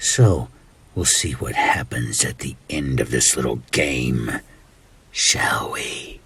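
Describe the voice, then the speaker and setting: A man uses a put-on character voice with a very deep, low pitch. He speaks at a very slow pace. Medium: role play. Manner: taunting, playful, sinister.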